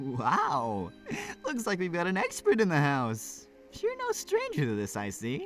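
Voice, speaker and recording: A man's put-on character voice, fairly high-pitched, raised and projected, at a moderate pace over clear background music. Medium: game stream. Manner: jovial, laid-back.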